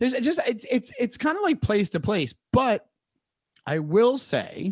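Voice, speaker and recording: With a New York accent, a man talks at an extremely high pitch, his voice making very wide pitch swings. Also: dry, close sound with no echo. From New York, Long Island. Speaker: comedian. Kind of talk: casual interview. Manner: fast.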